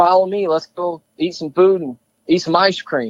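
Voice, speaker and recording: A man's high-pitched voice with an American accent, in a dry, close sound with no echo. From New York, Steuben County (Corning). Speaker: hunting filmmaker. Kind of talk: podcast interview.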